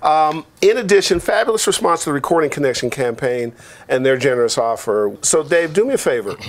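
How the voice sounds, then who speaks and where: Someone talks at a fairly quick pace with very wide pitch swings amid noticeable background noise. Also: man, fairly high pitch for a man. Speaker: talk show co-host. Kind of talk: casual show intro chat. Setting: studio.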